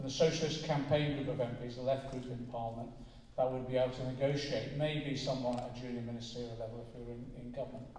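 A man talks at a fairly quick pace with fairly even intonation. Audible room echo and light background noise surround his voice. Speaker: politician addressing a meeting. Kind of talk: political speech. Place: hall.

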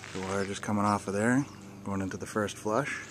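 Noticeable background noise sits under a man's voice, which has a dry sound with no echo. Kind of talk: casual walkthrough tutorial. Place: garden. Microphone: phone near.

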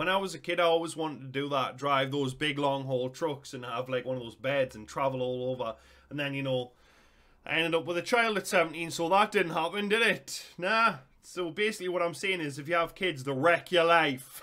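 Over a quiet background, a man with a Geordie accent speaks fairly quickly at a fairly high pitch, with ordinary pitch variation. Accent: Geordie (Newcastle) English. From northern England. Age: 30s. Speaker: YouTube reactor. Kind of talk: casual reaction commentary.

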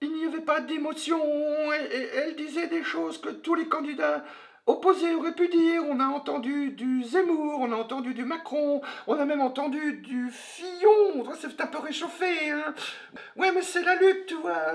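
A man puts on a character voice at an extremely high pitch. He keeps a moderate pace. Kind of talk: parody of TV punditry. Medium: fan dub. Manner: hesitant, full of fillers, sarcastic.

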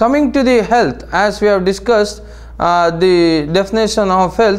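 This man's voice is high in pitch and moves at a moderate pace. His pitch varies in an ordinary way, and room echo can be heard. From India. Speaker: naturopathy lecturer. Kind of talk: lecture. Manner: halting, many fillers.

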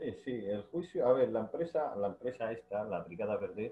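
A man's moderately paced speech comes through light background noise. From Ceuta. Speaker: municipal worker and union member; guest. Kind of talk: interview. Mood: indignant, complaining. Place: home room. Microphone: video call.

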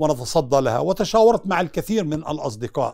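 Pitch swings very widely as a man talks at a moderate pace. The background is quiet. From Palestine. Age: 70s. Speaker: former prisoner. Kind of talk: interview. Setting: at home. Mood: emotional recollection. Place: home room. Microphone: lapel.

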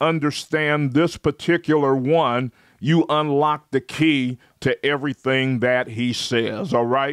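The speech moves at a very slow pace with fairly even intonation. The sound is dry with no echo. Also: man, quiet background. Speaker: preacher. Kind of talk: live-streamed sermon with call-and-response. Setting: online livestream. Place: home room. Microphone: studio mic.

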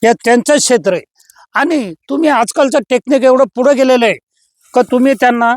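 A man speaks with an extremely high pitch and ordinary pitch variation. His loudness is very even, with a dry, close sound and no echo. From Maharashtra, Aurangabad district. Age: 70s. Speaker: natural farmer. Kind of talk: casual chat.

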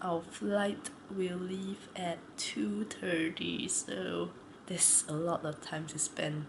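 The speech comes at a very slow pace over noticeable background noise. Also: woman. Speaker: travel vlogger. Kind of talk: casual vlog chat. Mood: excited about trip. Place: home room. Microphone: phone near.

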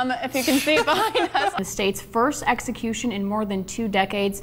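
A woman's fairly high voice, fairly quick and with lively intonation, over light background noise. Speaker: TV news anchor. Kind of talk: live news anchoring with crosstalk and interviews. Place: studio.

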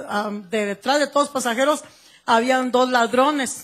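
The speaker has a Guatemalan accent and fairly even intonation. The background is quiet. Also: woman. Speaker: church member giving testimony. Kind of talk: testimony. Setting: church service, handheld microphone. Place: church. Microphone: handheld.

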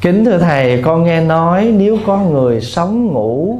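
Slow in the extreme, a man speaks with a dark, mellow tone, somewhat breathy, his pitch swinging very widely. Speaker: Buddhist monk. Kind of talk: dharma talk answering questions. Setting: temple hall with audience. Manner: humorous.

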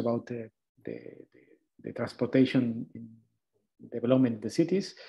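Over a quiet background, a man speaks. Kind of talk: lecture. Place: home room. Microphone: webcam.

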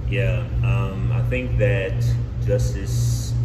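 Music plays behind a man as he talks. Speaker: guest. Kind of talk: interview answer. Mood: thoughtful, calm. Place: home room.

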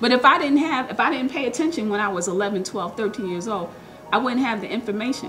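Clear music plays in the background as a woman speaks at a fairly quick pace with very wide pitch swings. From Newark, New Jersey. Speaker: public defender attorney. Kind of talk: interview answer. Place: meeting room.

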